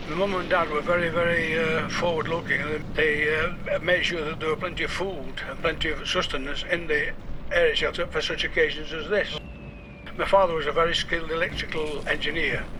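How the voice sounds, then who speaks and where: With noticeable background noise, a man with a high pitch speaks at a fairly quick pace in a monotone, flat intonation. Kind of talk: radio interview answer.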